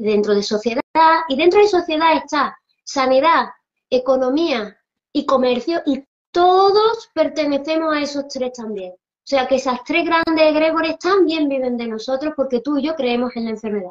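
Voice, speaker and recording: A woman with a high pitch speaks at a moderate pace with lively intonation and big swings in loudness over a quiet background. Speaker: spiritual teacher. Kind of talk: interview. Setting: Instagram live video call. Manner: fluent, expansive explainer. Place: home room. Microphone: video call.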